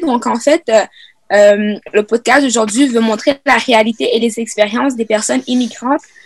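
A woman's unremarkable speaking voice, fairly high in pitch with ordinary variation, at a moderate pace, with a dry, close sound and no echo. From Quebec (Sherbrooke), raised from age 8; born Congo. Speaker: youth podcast host. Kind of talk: casual panel discussion; scripted outro.

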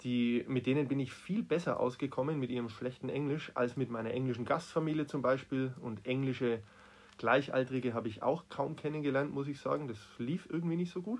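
Talking at a fairly quick pace, a man uses an unremarkable speaking voice at a medium pitch with ordinary pitch variation. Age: 40s. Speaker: teacher. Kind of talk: interview.

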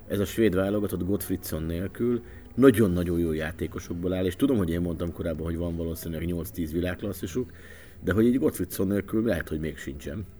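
Very fast and very deep, this man's speech shows ordinary pitch variation. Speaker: radio sports journalist. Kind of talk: casual chat.

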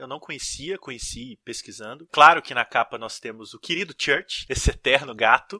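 The man's tone is bright and sharp, with ordinary pitch variation and a dry, close sound with no echo. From Brazil, small inland town. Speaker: podcast host, horror film critic. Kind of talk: casual chat.

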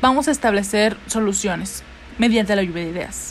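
This woman's voice sits at a medium pitch. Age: 20s. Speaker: student presenter. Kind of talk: educational talk. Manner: occasionally halting.

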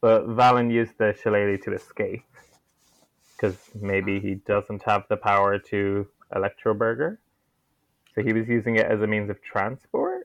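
A man in an Irish accent speaks at a moderate pace with fairly even intonation, leaving long, frequent pauses. The sound is dry and close, with no echo. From Ireland. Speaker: guest. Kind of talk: casual chat.

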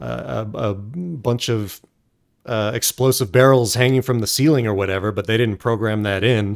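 In a very clean recording with a silent background, a man with an unremarkable speaking voice talks at a medium pitch and a moderate pace, with ordinary pitch variation. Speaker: podcast host.

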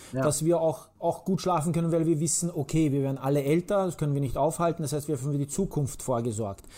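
Dark and mellow in tone yet somewhat breathy, a man at fairly high pitch talks at a very fast pace with ordinary pitch variation and hardly any pauses. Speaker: podcast host. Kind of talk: casual chat. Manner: energetic.

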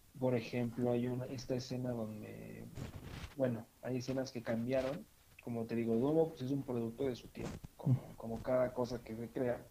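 A dark, mellow tone at a moderate pace, with big swings in loudness and monotone, flat intonation. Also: man, medium pitch for a man. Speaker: podcast co-host. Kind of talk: casual chat. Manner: halting, many fillers and repetitions.

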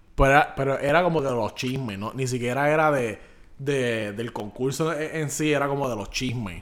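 At a moderate pace, a man with a medium pitch sounds animated and uses ordinary pitch variation. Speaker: podcast co-host. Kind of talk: casual chat.

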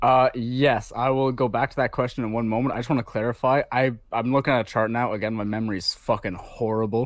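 At a fairly quick pace, a man talks in an ordinary speaking voice with ordinary pitch variation. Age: 20s. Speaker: crypto investor. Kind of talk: casual interview.

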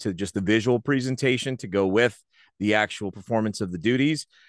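A man speaks in a normal speaking voice at a fairly quick pace, with fairly low pitch and ordinary pitch variation. The sound is dry and close with no echo, and the background is quiet. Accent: American. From New Jersey (Rahway). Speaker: sports announcer and in-game host. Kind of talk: casual interview chat.

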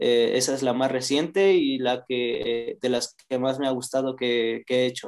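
Speaking fairly slowly with hardly any pauses, a man keeps a medium pitch and fairly even intonation. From Mexico, Toluca. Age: young. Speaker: rapper and sociology student. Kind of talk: casual interview. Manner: halting, many fillers.

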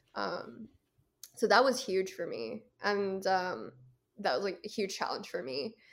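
On a very clean recording with a silent background, a woman with an American accent speaks at a fairly slow pace. Her medium-pitched voice has vocal fry and lively intonation. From US, Philadelphia suburbs. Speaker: film festival director. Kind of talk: casual interview chat.

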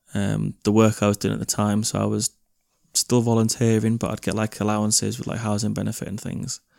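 A man with a fairly low pitch talks at a fairly quick pace in a monotone, flat intonation. The recording is very clean with a silent background and a dry, close sound with no echo. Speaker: tattoo artist. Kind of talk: casual chat. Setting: at home.

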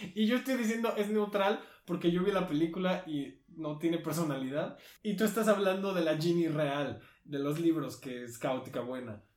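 Lively intonation and a moderate pace from a man with a high pitch. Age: 20s. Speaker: podcast co-host. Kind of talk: casual chat.

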